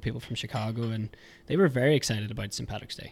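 Talking at a very fast pace, a man with a Northern Irish accent keeps a medium pitch. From Northern Ireland. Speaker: podcast guest. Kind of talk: casual chat.

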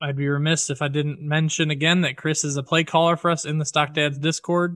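Against a quiet background, a man speaks at a moderate pace in a bright, sharp tone. His voice is fairly high with monotone, flat intonation. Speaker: podcast host. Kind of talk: casual chat. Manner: laughs often, easygoing.

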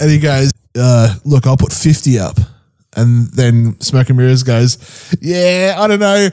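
Speaking with a New Zealand accent, a man at medium pitch keeps a fairly slow pace, very even loudness and lively intonation. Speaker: podcast co-host. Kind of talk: casual chat.

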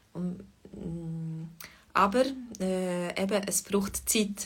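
A woman with a somewhat breathy, medium-pitched voice speaks with fairly even intonation. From Switzerland, Fribourg. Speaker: Swiss German language teacher. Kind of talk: livestream language lesson chat. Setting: online livestream. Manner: hesitant, many fillers.

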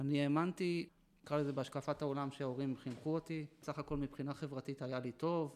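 The man talks at a moderate pace with a fairly high pitch and monotone, flat intonation, in a very clean recording with a silent background. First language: Yiddish (speaking Hebrew). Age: 40s. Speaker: former ultra-Orthodox man turned army veteran. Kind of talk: interview testimony. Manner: halting, with repetitions.

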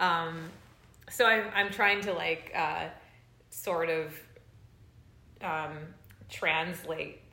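A very slow, fairly even voice with a Californian accent, long, frequent pauses and audible room echo. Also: woman, fairly low pitch for a woman. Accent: Californian American. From Los Angeles, US. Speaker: bass player. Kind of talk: casual chat. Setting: at home.

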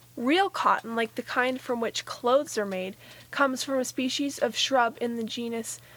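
A woman with a high-pitched voice talks at a fairly slow pace. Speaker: nature podcast co-host. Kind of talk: nature documentary narration. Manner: gently marveling, clear explanatory delivery.

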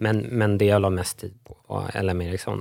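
This man talks with fairly even intonation. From Stockholm, Sweden. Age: 40s. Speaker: lawyer and economist, entrepreneur. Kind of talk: podcast interview.

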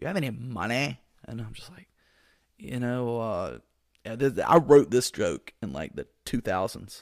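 Vocal fry marks a man's voice, which has very wide pitch swings and big swings in loudness. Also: medium pitch for a man, moderate pace. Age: 40s. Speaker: solo comedy podcast host. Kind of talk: casual solo podcast monologue. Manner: animated, energetic.

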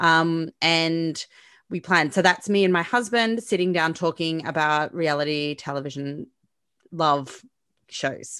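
Against a quiet background, a woman with an Australian accent speaks at a very slow pace in a fairly low pitch, with a bright, sharp tone and ordinary pitch variation. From Melbourne, Australia. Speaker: podcaster. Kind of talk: casual chat.

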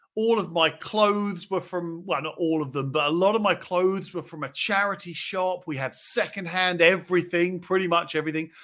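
A man with an English accent speaks in an animated tone at a high pitch. The recording is very clean, with a silent background. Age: 40s. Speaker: property investor podcast host. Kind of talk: solo podcast monologue.

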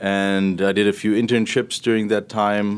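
Fairly slow and fairly low in pitch, a man with a German accent speaks on a very clean recording with a silent background. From Germany, Berlin. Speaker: portfolio manager. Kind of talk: interview.

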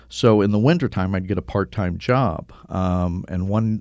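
This man has a very deep, low pitch and ordinary pitch variation, speaking with an American accent. The recording is very clean, with a silent background. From US Midwest (Cincinnati, Ohio). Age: 60s. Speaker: travel writer. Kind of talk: interview conversation.

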